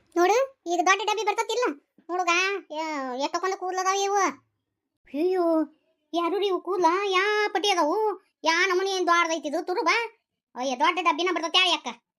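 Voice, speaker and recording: An extremely high-pitched cartoonish character voice speaks at a moderate pace. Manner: haggling, sales-patter.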